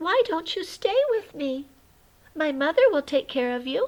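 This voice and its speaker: A woman's put-on character voice, extremely high in pitch with very wide pitch swings, at a moderate pace. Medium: read story. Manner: soft, innocent.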